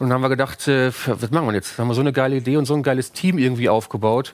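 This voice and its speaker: At a very fast pace and with fairly even intonation, a man speaks over noticeable background noise. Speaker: startup co-founder. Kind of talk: interview. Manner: hesitant, many fillers.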